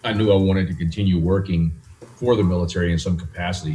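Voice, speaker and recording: A man's somewhat breathy, very deep voice with an American accent, dark and mellow in tone, flat and monotone at a very fast pace. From US South, South Louisiana. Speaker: chess federation president. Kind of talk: interview.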